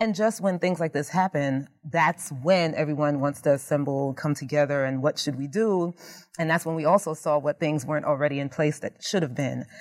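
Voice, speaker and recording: A woman with a very deep, low voice speaks fairly quickly in an animated tone with ordinary pitch variation, in a very clean recording with a silent background. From Jamaican immigrant family. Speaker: criminal justice faculty member. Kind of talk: interview conversation. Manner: animated, laughs often.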